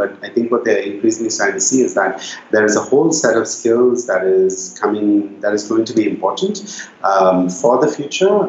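The speech moves at a moderate pace while noticeable background noise is heard. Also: man. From India (Bangalore). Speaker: social enterprise founder and CEO. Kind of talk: interview conversation.

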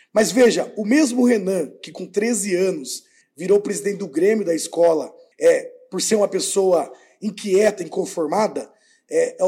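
A man's high-pitched voice with a dark, mellow tone at a moderate pace, in a very clean recording with a silent background. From Brazil, Sorocaba, São Paulo state. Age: 30s. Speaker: mayoral candidate and teacher. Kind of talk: political interview.

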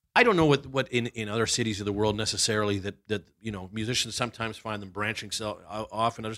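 A man with a Canadian accent, a bright, sharp tone and a very fast pace. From Vancouver, Canada. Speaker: author. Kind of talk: casual chat.

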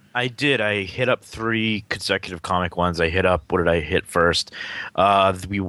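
In a Boston accent, a man's bright, sharp tone carries fairly even intonation on a very clean recording with a silent background. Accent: Boston-area New England. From Massachusetts, near Lowell. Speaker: podcast co-host. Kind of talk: casual chat.

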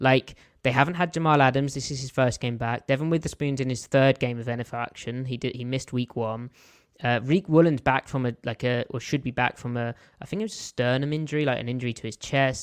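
Over a quiet background, a man talks at a very fast pace with an English accent and fairly even intonation, in a dry, close sound with no echo. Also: medium pitch for a man. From southern England (London). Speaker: football film analyst. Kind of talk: casual chat.

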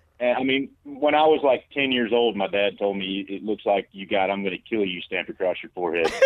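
Speaking with a Southern US accent, a man keeps a fairly quick pace and a fairly low pitch. His intonation is lively. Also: hardly any pauses. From US South. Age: 30s. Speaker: caller. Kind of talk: casual chat. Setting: phone call.

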